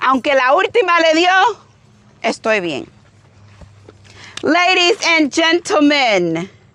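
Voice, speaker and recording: A woman's very slow speech with a Cuban accent. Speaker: firearms YouTuber. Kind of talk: casual chat while shooting, code-switching English and Spanish.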